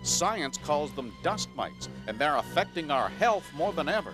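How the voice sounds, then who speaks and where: A man speaks with music in the background. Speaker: infomercial host. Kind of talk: infomercial presentation.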